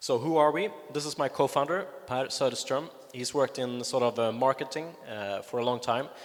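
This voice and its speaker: With a Swedish accent, a man talks at a fairly quick pace. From Sweden. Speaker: longevity advocate. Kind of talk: conference talk. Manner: hesitant, many fillers.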